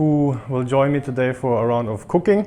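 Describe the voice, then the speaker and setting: A man with a German accent at a moderate pace. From Germany. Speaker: cooking show host. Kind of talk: casual chat.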